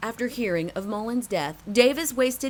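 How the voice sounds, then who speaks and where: At a moderate pace, the speaker uses an unremarkable speaking voice with lively intonation. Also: woman. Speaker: TV news reporter. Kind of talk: TV news report narration.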